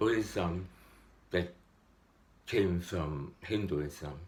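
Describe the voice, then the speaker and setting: Very deep and low in pitch, a somewhat breathy man talks at a very slow pace with lively intonation. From Hong Kong. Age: 60s. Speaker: meditator. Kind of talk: casual spiritual talk to camera.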